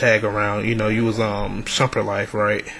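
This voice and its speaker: Noticeable background noise can be heard. Over it, a man talks. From Atlanta. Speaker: podcast host. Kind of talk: casual interview.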